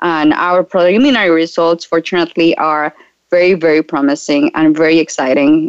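A woman with a Spanish accent, fairly low in pitch, at a fairly quick pace with ordinary pitch variation. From Colombia. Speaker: startup founder and physician. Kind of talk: interview.

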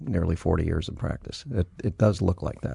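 With a very deep, low pitch and a dark, mellow tone, a man speaks somewhat breathily at a fairly quick pace. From US, moved around a lot (born El Paso, Texas). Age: 60s. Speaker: immigration lawyer. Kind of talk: interview.

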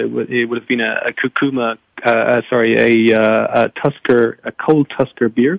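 In a dry, close sound with no echo, a man of medium pitch speaks at a moderate pace. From France. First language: French. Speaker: foundation program manager. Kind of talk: panel discussion. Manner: halting.

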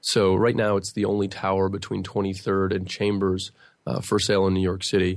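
Fairly low-pitched male voice with an American accent, monotone and flat, at a fairly quick pace over a quiet background. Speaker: real estate broker. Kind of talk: radio interview. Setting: studio.

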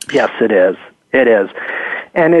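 A man talks at a moderate pace. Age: 50s. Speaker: neurologist. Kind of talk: interview. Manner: halting.

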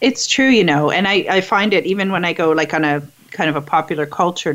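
A woman talks at a fairly quick pace. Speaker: radio host. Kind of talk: radio talk show, interview. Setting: radio studio.

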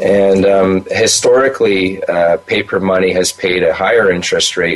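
A man speaks at a fairly slow pace in a very deep, low pitch. His intonation is monotone and flat, with noticeable background noise behind him. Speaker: gold market commentator. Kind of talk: interview. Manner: halting, repeats words.

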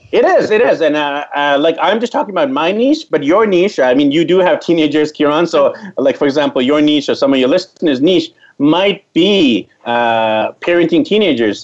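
A man with a Canadian accent speaks in an ordinary speaking voice at a moderate pace, his pitch fairly high. His intonation is lively and his loudness very even. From Canada, Vancouver. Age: 40s. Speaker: travel blogger and digital nomad. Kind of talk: interview.

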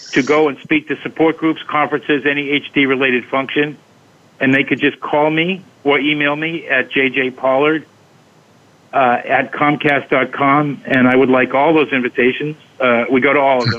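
Using a plain, everyday voice, a man speaks at a moderate pace, fairly high in pitch and fairly even in intonation. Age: 60s. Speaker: special education teacher working with Huntington's patients. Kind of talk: interview.

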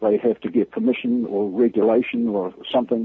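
Medium-pitched man with a New Zealand accent and fairly even intonation. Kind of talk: phone interview, critical. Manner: blunt, frustrated.

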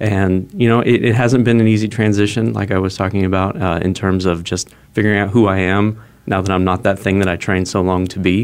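With an American accent, a man speaks in a fairly low voice with fairly even intonation. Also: fairly quick pace. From Arizona, Phoenix. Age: 30s. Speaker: former professor turned startup executive. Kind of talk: interview. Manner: halting.

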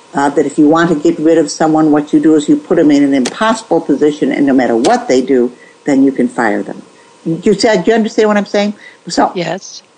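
With noticeable background noise, a woman speaks at a fairly low pitch with very wide pitch swings. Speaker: nurse ethics author. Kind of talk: interview.

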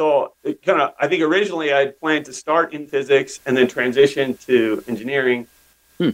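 This man has a normal speaking voice with an American accent. He talks at a fairly quick pace, his pitch fairly high with ordinary variation. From US West, northeastern Oregon. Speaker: tech company CEO. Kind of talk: interview. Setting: podcast interview.

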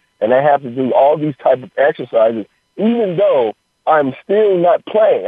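Here is a man with a plain, everyday voice. He keeps a moderate pace and ordinary pitch variation. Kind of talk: phone interview on radio, talking casually as a guest. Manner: relaxed, conversational, explanatory, with filler 'you know' and 'uh'.

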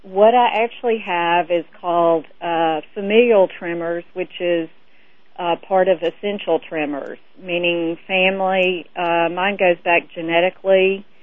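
A woman's ordinary speaking voice, fairly low in pitch, with fairly even intonation at a fairly slow pace. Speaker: caller. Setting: phone call.

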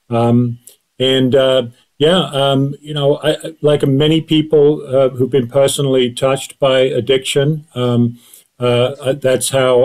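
A man at medium pitch with an American accent, slightly slow in pace and flat, monotone in intonation. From Great Britain. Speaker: addiction psychiatry professor. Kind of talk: interview. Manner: hesitant, many fillers.

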